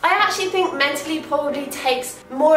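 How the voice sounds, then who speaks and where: A woman's high voice at a fairly quick pace, with ordinary pitch variation and clear music in the background. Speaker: lifestyle vlogger. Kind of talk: casual vlog chat. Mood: warm, upbeat, reflective. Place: home room.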